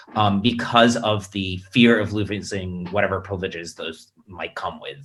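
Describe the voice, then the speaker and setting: The recording is very clean, with a silent background. A man with an American accent speaks in a bright, sharp tone with fairly even intonation. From United States. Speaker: panelist at a political webinar. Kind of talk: panel discussion. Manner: hesitant, many fillers and restarts.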